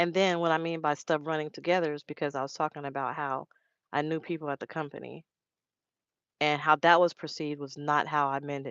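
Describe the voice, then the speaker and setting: A woman's very deep, low voice, monotone and flat, at a fairly quick pace. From Los Angeles, California. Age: 30s. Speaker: truck driver and live streamer. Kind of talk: casual live stream chat. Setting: live stream. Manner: fast, run-together speech.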